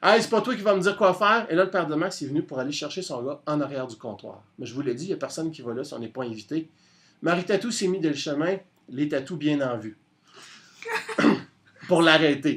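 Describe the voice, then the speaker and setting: Fairly high pitch from a man with a Quebec accent, lively intonation, a fairly quick pace and long, frequent pauses. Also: big swings in loudness. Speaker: storyteller. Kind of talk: oral storytelling on radio. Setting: radio studio.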